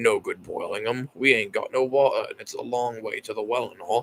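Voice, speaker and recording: A man speaks at a fairly quick pace in a put-on character voice. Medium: read story. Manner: rough, ungrammatical.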